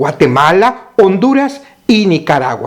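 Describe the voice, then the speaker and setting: A man speaks at a fairly slow pace with very wide pitch swings. Noticeable background noise is present. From Mexico. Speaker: pastor. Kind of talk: recorded teaching.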